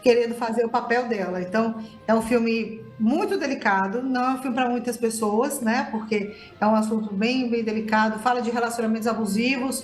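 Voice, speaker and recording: Fairly even intonation comes through an audible room echo, with music in the background. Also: woman, fairly high pitch for a woman. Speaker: film critic. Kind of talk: radio interview. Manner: fast.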